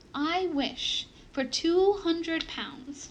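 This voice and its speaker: A woman performs a put-on character voice. Her pitch is extremely high. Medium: read story.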